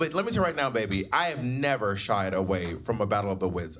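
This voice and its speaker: With an American accent, a man speaks at a fairly quick pace, his pitch swinging very widely. Noticeable background noise is present. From US South. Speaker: drag queen and stand-up comedian. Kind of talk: personal storytelling bit. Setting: live venue with audience.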